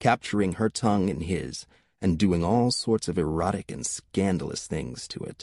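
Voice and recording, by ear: With ordinary pitch variation, the reading aloud comes in a natural voice.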